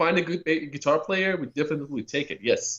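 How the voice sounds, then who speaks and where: A man talks at a fairly quick pace. His voice has vocal fry. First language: not English. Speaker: metal band guitarist and vocalist. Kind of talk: radio interview.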